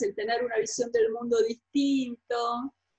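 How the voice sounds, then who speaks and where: A woman's high-pitched voice moves along at a fairly slow pace. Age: 50s. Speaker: author. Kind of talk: interview.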